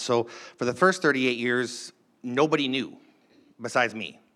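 A man with an American accent speaks at a medium pitch and a moderate pace. His tone is bright and sharp, and the recording is very clean with a silent background. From Minnesota. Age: 40s. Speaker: church member sharing life story. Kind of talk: testimony. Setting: church with live congregation.

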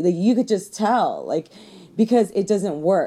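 In a Californian accent, a woman speaks at medium pitch in a dark, mellow tone with ordinary pitch variation. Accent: Californian American English. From Los Angeles, raised from age six. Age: 30s. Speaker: comedian. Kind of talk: casual chat.

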